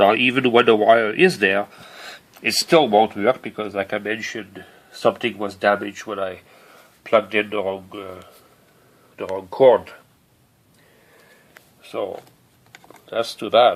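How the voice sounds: Speech moves at a slow pace with long, frequent pauses. The intonation is fairly even. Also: man, fairly low pitch for a man.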